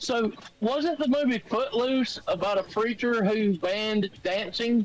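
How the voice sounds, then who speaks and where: Over music in the background, a man talks at a fairly slow pace in a high pitch, with ordinary pitch variation and very even loudness. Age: 60s. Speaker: call-in participant. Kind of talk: casual chat.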